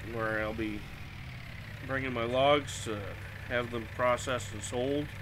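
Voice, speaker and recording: With noticeable background noise and audible room echo, a man speaks in a relaxed tone at a medium pitch, his intonation monotone and flat. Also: fairly slow pace. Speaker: gaming streamer. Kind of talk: live gameplay commentary. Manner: casual, relaxed.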